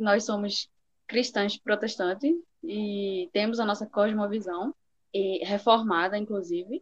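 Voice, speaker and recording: A woman speaks fairly slowly in a plain, everyday voice at a fairly high pitch, the sound dry and close with no echo. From Recife, Pernambuco, Brazil. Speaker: podcast co-host. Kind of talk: casual chat.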